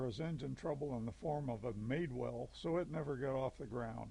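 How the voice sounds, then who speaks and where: Fairly high for a man, his voice also sounds somewhat breathy. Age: 70s. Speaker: model airplane hobbyist. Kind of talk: scripted narration.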